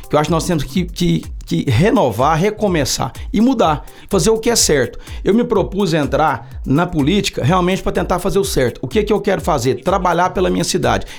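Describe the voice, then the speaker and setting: A man with a high pitch speaks at a fairly quick pace. His intonation is lively and his loudness very even. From Brazil, Uberlândia, Minas Gerais. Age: 40s. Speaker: city councillor. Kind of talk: podcast interview. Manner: halting, with frequent fillers.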